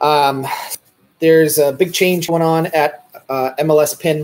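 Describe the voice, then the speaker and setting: A man with a fairly high pitch talks at a fairly slow pace in a Boston accent. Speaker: real estate broker. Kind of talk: casual vlog talk to camera. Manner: halting, many fillers.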